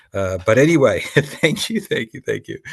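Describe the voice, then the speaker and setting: A man with an Australian accent speaks over a quiet background. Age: 60s. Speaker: business educator for doctors. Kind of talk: webinar presentation. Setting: video webinar from home in Sydney.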